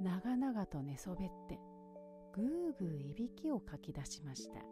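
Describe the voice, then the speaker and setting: A soft-spoken woman talks in a calm tone at a medium pitch. Music plays in the background. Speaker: narrator. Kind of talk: bedtime story reading. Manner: soft, calm.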